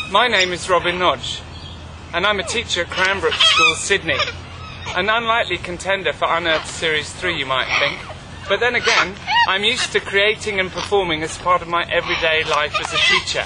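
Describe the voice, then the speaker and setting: Speaking at a fairly quick pace with an English accent, a man with a high voice uses ordinary pitch variation over noticeable background noise. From London, England. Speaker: teacher. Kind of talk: scripted narration. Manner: formal.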